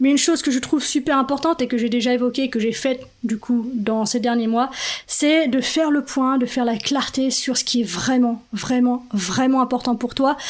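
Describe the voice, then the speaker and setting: Here a woman speaks with a high pitch. Her intonation is fairly even and her loudness stays very even. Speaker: podcast host and life coach. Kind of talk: solo podcast talk. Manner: fast.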